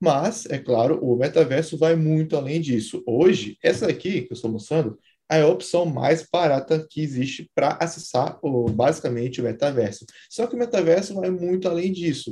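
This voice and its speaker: A man's fairly high voice carries lively intonation and a dark, mellow tone. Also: moderate pace. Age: 20s. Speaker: software engineer and startup founder. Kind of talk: interview about technology.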